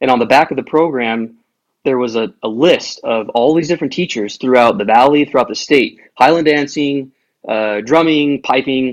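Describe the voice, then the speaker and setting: An unremarkable speaking voice, a man with an American accent at a moderate pace, medium pitch and ordinary pitch variation. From Utah, US. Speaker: bagpiper. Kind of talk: casual chat.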